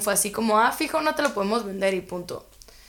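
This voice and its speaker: A woman with a Guatemalan accent talks at a fairly quick pace in a medium pitch. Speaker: university student. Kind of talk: casual chat.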